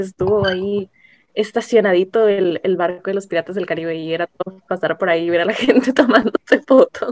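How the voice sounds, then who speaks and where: This woman's voice sits at a medium pitch with ordinary pitch variation and a moderate pace, captured dry and close without any echo. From Ensenada, Baja California, Mexico. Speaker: podcast guest. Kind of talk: casual chat.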